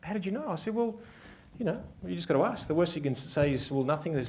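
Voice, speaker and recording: An animated man speaks at a very fast pace with an Australian accent. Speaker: wedding photographer giving a seminar. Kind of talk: live seminar talk. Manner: animated, varying pace and volume.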